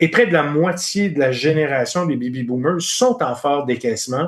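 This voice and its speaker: A man with an ordinary speaking voice, fairly high-pitched, at a fairly slow pace. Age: 60s. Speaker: finance executive. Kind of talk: podcast interview.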